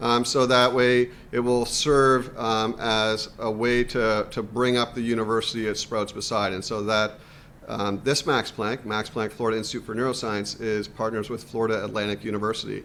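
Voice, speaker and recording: An ordinary speaking voice with a Canadian accent moves at a moderate pace. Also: man. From Canada. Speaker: university administrator, scientist. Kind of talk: career panel talk.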